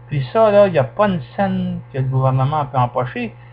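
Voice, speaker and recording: A man with a Quebec accent sounds somewhat breathy, using lively intonation at a moderate pace. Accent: Québécois French. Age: 70s. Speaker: political commentator. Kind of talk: political monologue. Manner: animated.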